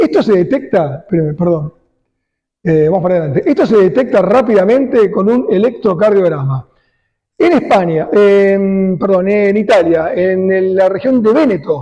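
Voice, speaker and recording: A man talks at a moderate pace with lively intonation and very even loudness. His voice is high-pitched for a man, with a dark, mellow tone. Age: 60s. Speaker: cardiologist. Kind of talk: lecture.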